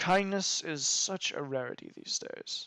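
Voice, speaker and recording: A put-on character voice from a man, fairly slow in pace. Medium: actual play.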